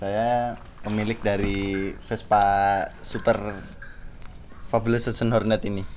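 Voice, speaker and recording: A man's fairly low voice unfolds very slowly. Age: 20s. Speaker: Vespa owner. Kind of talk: casual interview.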